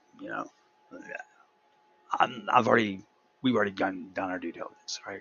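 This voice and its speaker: A man talks at a fairly quick pace. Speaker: tech video creator. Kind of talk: screen-recorded tutorial walkthrough. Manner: fast; casual, halting with fillers.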